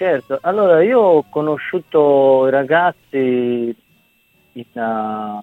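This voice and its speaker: A man at medium pitch, with ordinary pitch variation. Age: 30s. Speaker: bandleader and singer. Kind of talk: interview.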